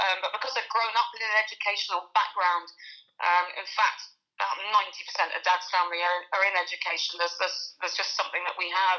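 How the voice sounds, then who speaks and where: Talking very fast, a woman keeps a medium pitch and fairly even intonation. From Fife, Scotland, school years in England. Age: 30s. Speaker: hockey coach. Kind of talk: interview.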